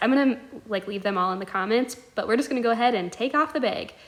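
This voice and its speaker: Noticeable background noise surrounds a woman talking at a very fast pace. Her voice is high, with ordinary pitch variation. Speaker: ostomy vlogger. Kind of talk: tutorial. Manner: casual, filler-heavy.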